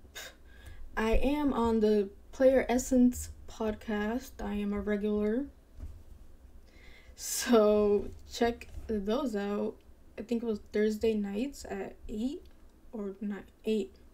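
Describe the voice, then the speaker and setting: Mumbling at a very slow pace with long, frequent pauses, a woman speaks in a dark, mellow tone at a fairly high pitch. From Dominican-American, parents from Dominican Republic. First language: bilingual Spanish speaker. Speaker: gaming streamer. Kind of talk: casual live-stream chat. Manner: hesitant, unconfident delivery.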